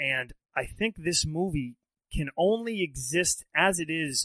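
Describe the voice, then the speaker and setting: In a quiet background with a dry, close sound and no echo, a man with an ordinary speaking voice talks at a fairly high pitch with lively intonation. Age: 30s. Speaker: film podcast host. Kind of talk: casual chat.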